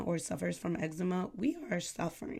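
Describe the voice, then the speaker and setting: Vocal fry runs through a woman's fairly low voice. She talks at a moderate pace. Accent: New York. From New York, the Bronx. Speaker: aesthetician and podcast host. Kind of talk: casual talk to camera. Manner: casual, filler-heavy.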